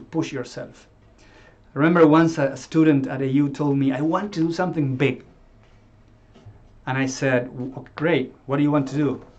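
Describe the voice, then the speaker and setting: In an Argentine accent, a man speaks at a fairly high pitch and a moderate pace. His intonation stays fairly even. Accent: Argentine Spanish accent, noticeable. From Argentina. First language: Spanish. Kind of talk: talk to course group. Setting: live stream. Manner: halting, with fillers and repeats.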